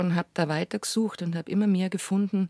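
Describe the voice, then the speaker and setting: Recorded very cleanly against a silent background, a woman's fairly low voice comes across dry and close with no echo. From Bavaria, Munich. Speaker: chanson singer and actress. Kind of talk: interview conversation.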